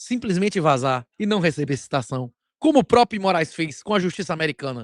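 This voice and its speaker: A man with a Bahian accent, high-pitched and animated, at a fairly quick pace with very wide pitch swings, in a very clean recording with a silent background and a dry, close sound with no echo. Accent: Bahian Brazilian Portuguese. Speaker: bitcoin commentator, channel host. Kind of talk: opinion commentary monologue.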